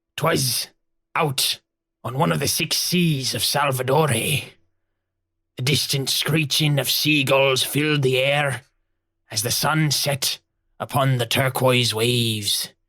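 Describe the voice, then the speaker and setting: Putting on a character voice, a man speaks in a raspy, theatrical tone at a fairly slow pace with long, frequent pauses. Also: medium pitch for a man. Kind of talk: pirate storytelling. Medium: actual play. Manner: gruff, theatrical.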